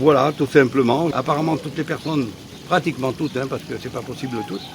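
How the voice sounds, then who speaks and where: A man's medium-pitched voice, fairly even in intonation, is heard against noticeable background noise. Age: 70s. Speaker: animal park owner. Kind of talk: interview. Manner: halting.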